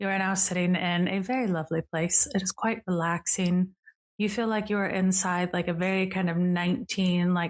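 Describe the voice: The reading aloud is plain, with fairly even intonation. Nothing much is heard in the quiet background.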